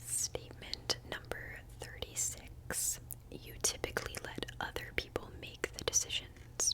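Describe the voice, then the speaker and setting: A woman's whispering at a fairly slow pace, with noticeable background noise. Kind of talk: ASMR personal questions video. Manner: whispered, soft-spoken.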